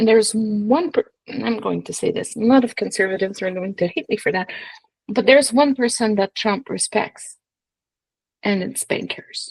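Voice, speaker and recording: A woman with a fairly high, somewhat breathy voice talks at a moderate pace with ordinary pitch variation, the sound dry and close with no echo. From Quebec, Montreal. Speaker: political strategist. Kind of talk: casual political interview.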